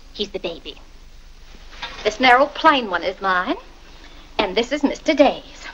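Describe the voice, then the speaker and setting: A woman speaks in a high voice at a fairly slow pace. Light background noise can be heard. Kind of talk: scripted film dialogue. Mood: gentle, instructive, cheerful. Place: home room.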